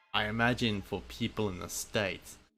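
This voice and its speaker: In a very clean recording with a silent background, a man with an Australian accent speaks at a fairly low pitch with ordinary pitch variation and vocal fry. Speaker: video game streamer. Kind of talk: live gameplay commentary.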